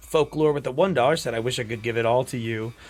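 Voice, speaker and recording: A man's medium-pitched voice at a very fast pace, with music in the background. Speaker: streamer. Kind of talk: live stream gameplay with reading donations aloud.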